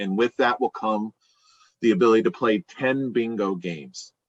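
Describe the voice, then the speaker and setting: This man has a plain, everyday voice. He speaks at a moderate pace with ordinary pitch variation. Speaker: bingo caller and business executive. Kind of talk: podcast interview answer. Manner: conversational, explanatory.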